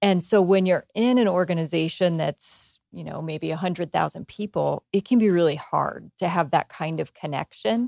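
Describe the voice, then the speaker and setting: A woman's normal speaking voice with an American accent, fairly low in pitch with ordinary variation, at a moderate pace with hardly any pauses, in a dry, close sound with no echo. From small-town US. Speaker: HR executive. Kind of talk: interview. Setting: in person at company headquarters.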